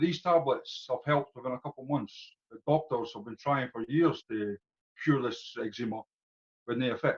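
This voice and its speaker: In a Scottish accent, the speaker sounds somewhat breathy at a moderate pace, with ordinary pitch variation, big swings in loudness and a dry, close sound with no echo. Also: man, medium pitch for a man. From Scotland. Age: 40s. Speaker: customer giving testimonial. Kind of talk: testimony. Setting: video call.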